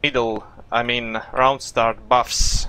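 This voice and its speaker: A man with a non-native accent talks at a very slow pace. His pitch variation is ordinary. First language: not English. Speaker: esports player and coach. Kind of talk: coaching session. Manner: halting, many fillers.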